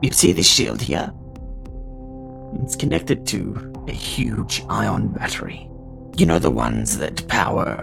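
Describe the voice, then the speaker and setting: With clear music in the background, a man puts on a character voice at a very deep, low pitch. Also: fairly slow pace. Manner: calm, businesslike, bargaining.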